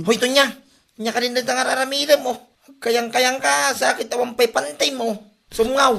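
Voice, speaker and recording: An extremely high-pitched put-on character voice from a man, raised and projected, at a moderate pace. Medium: short film. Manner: scolding, exasperated.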